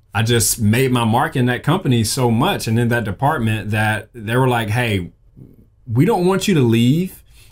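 A man with a Southern US accent, medium in pitch, at a moderate pace with lively intonation over a quiet background. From Mississippi, US South. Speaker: graphic designer and podcast host; creator. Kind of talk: casual solo talk. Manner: animated. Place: studio.

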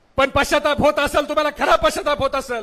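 A man's raised, projected voice, bright and sharp in tone, with monotone, flat intonation. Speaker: political party speaker at a rally. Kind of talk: political rally speech. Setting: stage with audience. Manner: loud, fiery oratory.

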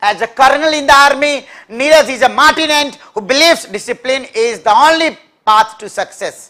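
A man speaks in a raised, projected voice at an extremely high pitch, with a bright, sharp tone. His pace is fairly quick, his pitch variation ordinary, and the background quiet. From India. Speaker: English teacher for competitive exams; english vocabulary teacher. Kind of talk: live online class. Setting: live stream. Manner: repetitive drilling of words. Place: classroom.

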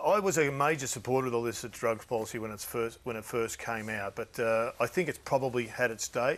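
A man with an Australian accent talks at a very fast pace. He has ordinary pitch variation and hardly any pauses. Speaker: football show host. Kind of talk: casual chat. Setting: studio. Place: studio. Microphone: lapel.

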